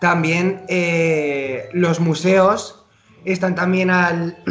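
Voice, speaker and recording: A man speaks with a high pitch. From Spain (Zaragoza, Aragon). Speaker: podcast co-host, dancer. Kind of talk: casual chat.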